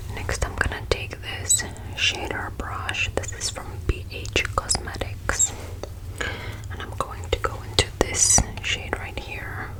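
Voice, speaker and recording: Noticeable noise sits in the background. Very slowly, a woman whispers. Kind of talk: ASMR makeup try-on. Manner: whispered, soft-spoken.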